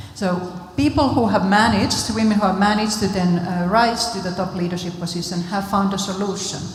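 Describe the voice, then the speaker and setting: Amid noticeable background noise and audible room echo, a woman with a Finnish accent speaks at medium pitch and a fairly quick pace with fairly even intonation. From Finland. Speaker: international development official. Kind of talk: panel discussion.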